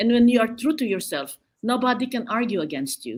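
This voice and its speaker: A woman talks at a moderate pace with a fairly high pitch and vocal fry. The recording is very clean, with a silent background. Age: 70s. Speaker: business executive. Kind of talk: interview.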